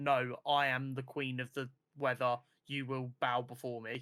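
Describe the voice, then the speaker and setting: Using a put-on character voice, a man booms at a medium pitch and a moderate pace. His intonation stays monotone and flat. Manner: commanding, imperious.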